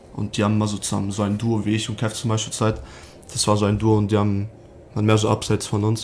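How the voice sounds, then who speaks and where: A man's somewhat breathy voice at a very fast pace, flat and monotone throughout. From western Germany, Sauerland near Dortmund (NRW). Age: 20s. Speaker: professional ice hockey player. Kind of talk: podcast interview.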